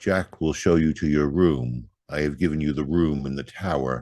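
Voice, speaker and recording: Doing a put-on character voice, a man speaks at a moderate pace in a very deep, low pitch. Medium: read story. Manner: flat, unvarying, ominous.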